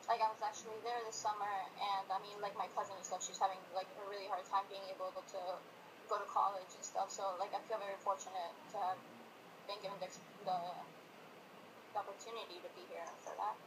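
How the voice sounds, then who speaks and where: Over noticeable background noise, a woman with a Spanish accent speaks at medium pitch and a fairly quick pace, with long, frequent pauses, monotone, flat intonation and big swings in loudness. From Colombia. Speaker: student. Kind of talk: interview answers. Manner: hesitant, many fillers.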